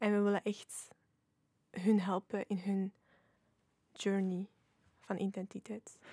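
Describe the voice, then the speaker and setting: Very slow, flat monotone speech from a woman with a Flemish accent, long, frequent pauses, a dry sound with no echo and a quiet background. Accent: Flemish Dutch. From Flanders, Belgium. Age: 20s. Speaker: youth ambassador; podcast guest. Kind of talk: casual chat. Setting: studio. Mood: calm, reflective. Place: studio. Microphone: studio mic.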